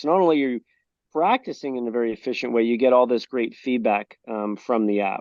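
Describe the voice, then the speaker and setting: A man speaks with a normal speaking voice at a moderate pace. His intonation is lively. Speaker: golf technology founder. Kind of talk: interview answer.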